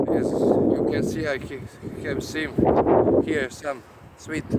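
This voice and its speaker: A man talks amid noticeable background noise, and the room gives an audible echo. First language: Croatian. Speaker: herbalist vlogger. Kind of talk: casual vlog. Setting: outdoors. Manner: halting, many hesitations.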